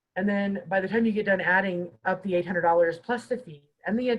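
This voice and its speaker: Her voice somewhat breathy, a woman speaks at a fairly quick pace. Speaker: housing mediator at a guest organization. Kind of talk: webinar presentation. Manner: fast.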